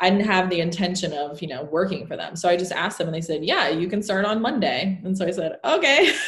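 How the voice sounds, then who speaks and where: A woman speaks at a very fast pace with hardly any pauses, in a medium pitch with ordinary pitch variation. Noticeable background noise is present. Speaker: actor and business coach. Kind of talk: casual interview chat.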